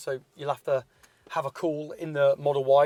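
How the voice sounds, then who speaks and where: On a very clean recording with a silent background, a man with a British accent sounds dry and close with no echo. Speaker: car reviewer. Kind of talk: casual car review chat. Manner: loud.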